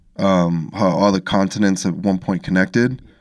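In a very clean recording with a silent background, a plain, everyday voice with an American accent moves at a moderate pace. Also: man. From Los Angeles, US. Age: 30s. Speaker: podcast host, audio engineer. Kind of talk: casual chat. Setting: studio.

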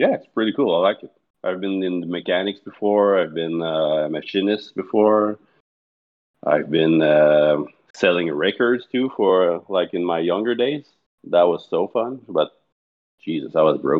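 The speaker is a man with a very deep, low pitch and ordinary pitch variation. He talks at a fairly slow pace. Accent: Quebec. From Quebec, Montreal. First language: French. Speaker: darts league player. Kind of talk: casual chat.

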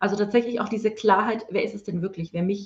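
A woman's somewhat breathy, medium-pitched voice with ordinary pitch variation. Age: 40s. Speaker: spiritual mentor. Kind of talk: interview. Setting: online livestream.

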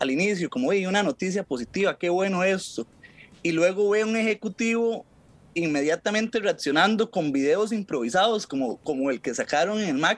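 In a Costa Rican accent, a man talks with a high pitch and lively intonation. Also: moderate pace, dry, close sound with no echo. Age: 20s. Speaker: legal commentator. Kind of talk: casual chat.

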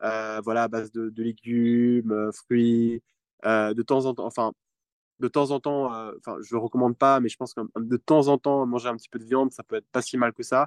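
A man with a medium-pitched voice talks at a moderate pace in a monotone, flat delivery, the sound dry and close with no echo. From Geneva, Switzerland. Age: 20s. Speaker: youth climate delegate. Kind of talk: interview. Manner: halting, with many repeated words.

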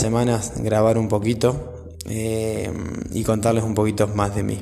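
A man with a fairly low pitch speaks at a fairly slow pace in a Rioplatense accent, his intonation flat and monotone, with audible room echo and noticeable background noise. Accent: Argentine Rioplatense Spanish. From Argentina, Buenos Aires province. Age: 30s. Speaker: dog groomer and podcaster. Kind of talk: personal monologue. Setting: partner's workshop. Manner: halting, many fillers.

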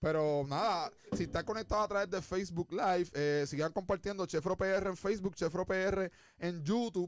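Speaking with hardly any pauses, a man with a high voice keeps an animated tone and very even loudness. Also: moderate pace. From Puerto Rico. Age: 20s. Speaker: podcast host. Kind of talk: casual chat. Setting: studio.

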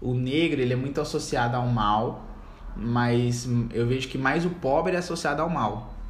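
A man talks fairly slowly at a medium pitch, his voice somewhat breathy with ordinary pitch variation. Room echo is audible. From Brazil, Campo Grande, Mato Grosso do Sul. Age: 20s. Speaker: law student. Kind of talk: podcast interview. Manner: halting.

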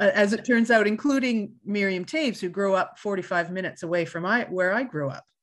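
A woman with a Canadian Prairies accent, fairly quick and lively in intonation, with hardly any pauses. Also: medium pitch for a woman. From Canada, Winnipeg, Manitoba. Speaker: costume designer. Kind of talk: interview.

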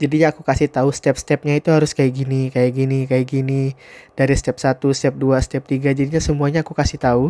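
A man speaks at a fairly quick pace with a dark, mellow tone and monotone, flat intonation. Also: medium pitch for a man. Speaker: podcaster. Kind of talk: casual solo monologue. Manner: casual, conversational.

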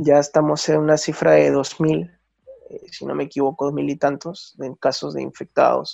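A man talks at a fairly slow pace. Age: 30s. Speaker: photojournalist. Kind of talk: interview. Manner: halting.

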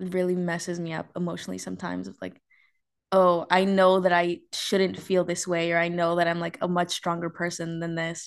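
A woman's fairly low, monotone voice with flat intonation, over a quiet background. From US, Mexican-American family. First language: Spanish. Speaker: podcast host. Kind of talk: casual chat, date conversation.

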